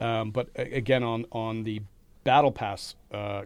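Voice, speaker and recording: A man's normal speaking voice at medium pitch, with fairly even intonation, on a very clean recording with a silent background. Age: 40s. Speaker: podcast host at a film school. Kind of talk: interview conversation. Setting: studio.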